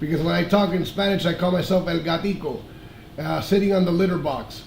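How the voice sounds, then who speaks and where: This man speaks at a high pitch and a fairly quick pace, with fairly even intonation, noticeable background noise and audible room echo. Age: 50s. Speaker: ham radio operator. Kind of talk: amateur radio contact. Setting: radio transmission.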